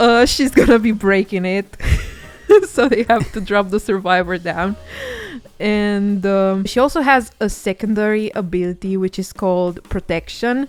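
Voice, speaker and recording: A woman with a non-native accent, medium pitch, ordinary pitch variation and a moderate pace. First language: not English. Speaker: gaming youtuber. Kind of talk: casual chat.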